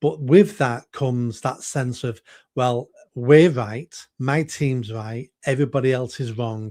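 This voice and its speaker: On a very clean recording with a silent background, a man with a Mancunian accent speaks at a fairly slow pace in a dark, mellow tone. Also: medium pitch for a man, ordinary pitch variation. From northern England, Manchester. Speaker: political candidate. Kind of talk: interview. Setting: live video stream.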